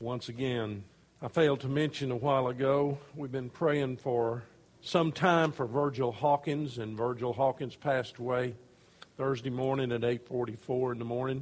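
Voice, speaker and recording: The pace is moderate and the intonation fairly even. It is an ordinary speaking voice. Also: man, medium pitch for a man. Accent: American. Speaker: pastor. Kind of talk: sermon. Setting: church.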